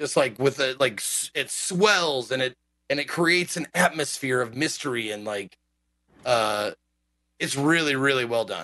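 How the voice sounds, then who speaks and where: Lively intonation marks a man's bright, sharp tone, pitched at medium and delivered at a moderate pace. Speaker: podcast co-host. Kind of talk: casual chat. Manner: casual, jokey.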